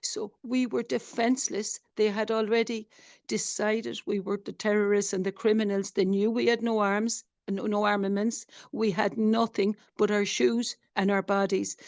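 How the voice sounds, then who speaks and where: A woman with a strong Irish accent and fairly high pitch speaks at a moderate pace with fairly even intonation, in a dry, close sound with no echo and a quiet background. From Ireland. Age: 60s. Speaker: doctor, flotilla activist. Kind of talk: testimony. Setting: webinar video call.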